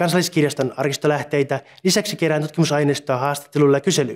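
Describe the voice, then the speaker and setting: Talking at a very fast pace, a man keeps a fairly high pitch with ordinary pitch variation and very even loudness. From Finland, Satakunta (Punkalaidun); Finland. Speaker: doctoral researcher. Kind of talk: scripted self-introduction. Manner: formal. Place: office. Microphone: lapel.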